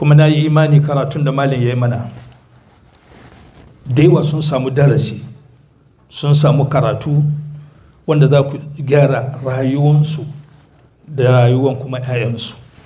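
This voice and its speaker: With an African accent, the speaker goes at a fairly quick pace in a monotone, flat delivery, broken by long, frequent pauses and set in audible room echo. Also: man, fairly high pitch for a man. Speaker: visiting Islamic preacher. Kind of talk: sermon with interpretation. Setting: mosque.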